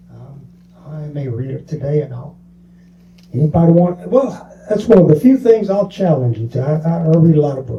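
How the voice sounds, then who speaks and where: A man with a Southern US accent talks at a moderate pace and a fairly high pitch. His intonation is lively, with big swings in loudness. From US South, Mobile, Alabama. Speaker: bookstore owner. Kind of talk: interview.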